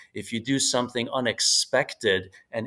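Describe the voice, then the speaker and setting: A man speaks with a Hungarian accent. The recording is very clean, with a silent background. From United States, moved from Hungary as a young child. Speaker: author and business strategist. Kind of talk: podcast interview. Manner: halting, many fillers and repetitions.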